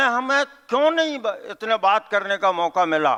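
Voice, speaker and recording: A man projects a raised, high-pitched voice in a stern, bright, sharp tone, recorded dry and close with no echo against a quiet background. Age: 70s. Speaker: event organizer giving welcome speech. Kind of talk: public speech. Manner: halting.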